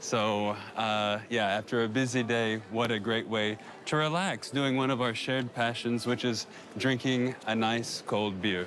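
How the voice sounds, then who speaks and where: In an American accent, the speaker moves at a fairly slow pace with fairly even intonation. Loudness stays very even throughout. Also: man, medium pitch for a man. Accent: American accent when speaking Polish. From US South, Arkansas. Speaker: immigrant and YouTuber in documentary. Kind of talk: documentary interview and casual narration.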